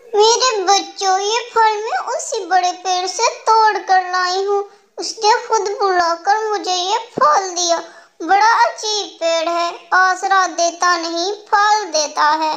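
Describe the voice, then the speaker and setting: Putting on a cartoonish character voice, a woman speaks at an extremely high pitch and a fairly slow pace. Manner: soft, polite, motherly.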